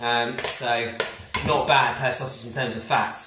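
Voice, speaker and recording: A man's moderate-paced speech at medium pitch, amid audible room echo and noticeable background noise. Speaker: cookery host. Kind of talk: live cooking demonstration. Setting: home kitchen livestream. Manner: casual, hesitant fillers.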